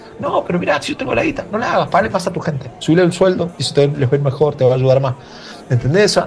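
A man at a very fast pace and fairly high pitch, lively intonation, noticeable background noise. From Argentina, Mendoza. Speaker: advertising creative director. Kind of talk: casual chat. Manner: halting, with repeated words.

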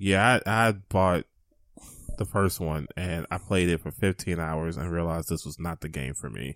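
This man has a very deep, low pitch, vocal fry and an angry tone, with ordinary pitch variation at a moderate pace. The recording is very clean with a silent background and a dry, close sound with no echo. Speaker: video game podcast co-host. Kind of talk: casual chat. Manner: sounds perturbed and angry.

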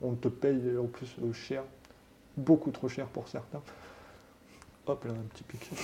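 Delivery is very slow, with long, frequent pauses and monotone, flat intonation. Loudness swings widely. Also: man, medium pitch for a man. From France, Haute-Savoie. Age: 40s. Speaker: tattoo artist. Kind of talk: interview. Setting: tattoo shop.

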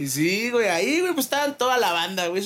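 Pitch swings very widely as this man speaks. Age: young. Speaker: podcast co-host. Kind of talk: casual chat.

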